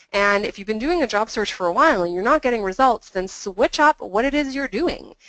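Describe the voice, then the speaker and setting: A woman speaks with fairly high pitch and lively intonation, hardly pausing, in a dry, close sound with no echo. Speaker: employment adviser. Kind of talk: webinar presentation. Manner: fast.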